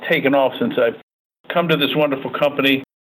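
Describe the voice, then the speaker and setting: A man with a fairly high pitch talks at a fairly quick pace in a normal speaking voice. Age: 50s. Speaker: real estate team leader. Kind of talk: interview.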